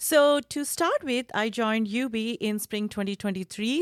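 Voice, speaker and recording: In a very clean recording with a silent background and a dry, close sound with no echo, a woman with an Indian accent speaks at a moderate pace with a fairly high pitch and lively intonation. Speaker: university lecturer. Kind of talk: podcast interview.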